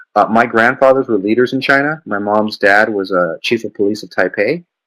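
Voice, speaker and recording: Speaking at a fairly quick pace, a man shows ordinary pitch variation, the sound dry and close with no echo. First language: Mandarin Chinese. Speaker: business founder. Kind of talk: interview.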